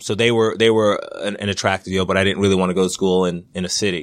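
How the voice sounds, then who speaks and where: A man speaks at a very fast pace with a fairly low pitch. His intonation is monotone and flat. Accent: American. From Long Island, New York. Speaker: college wrestling coach. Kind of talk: interview. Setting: office.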